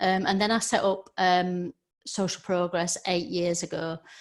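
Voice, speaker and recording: A woman with a Yorkshire accent, fairly low in pitch, at a fairly slow pace. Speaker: social media trainer. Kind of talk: webinar presentation. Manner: hesitant, many fillers.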